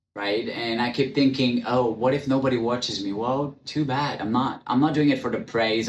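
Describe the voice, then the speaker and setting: A man with a non-native accent. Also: hardly any pauses. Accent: foreign. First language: not English. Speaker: podcast host. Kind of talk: personal monologue. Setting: in front of a camera.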